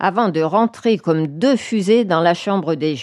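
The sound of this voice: An unforced reading voice carries the whole clip.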